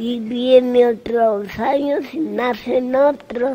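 Noticeable background noise behind a woman with a Mexican accent, high-pitched, with ordinary pitch variation. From Mexico City. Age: 80s+. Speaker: resident of an old people's home. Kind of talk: interview answer.

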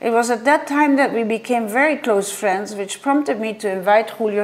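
With a Dutch accent, a woman talks at a fairly quick pace with hardly any pauses. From Netherlands. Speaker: art historian and curator. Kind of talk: conference paper reading. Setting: virtual conference. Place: home room. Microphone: webcam.

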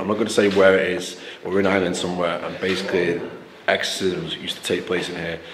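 A man's very deep, low voice in a flat monotone at a very fast pace, with noticeable background noise. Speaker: explorer vlogger. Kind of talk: casual vlog chat. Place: empty room. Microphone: phone near.

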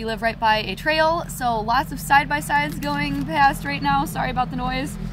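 A woman at a fairly quick pace, dry sound with no echo, music in the background. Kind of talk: casual tutorial vlog. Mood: curious, pleasantly surprised. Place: garden.

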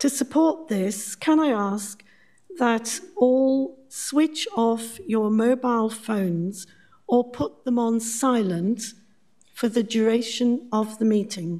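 A woman's dark, mellow voice at a very slow pace over a quiet background. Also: ordinary pitch variation. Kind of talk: formal meeting chairing. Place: hall.

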